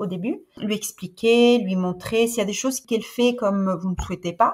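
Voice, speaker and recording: Somewhat breathy, a woman speaks. Her pitch is fairly high. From Sicily, Italy. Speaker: host mother of au pairs. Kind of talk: podcast interview answer.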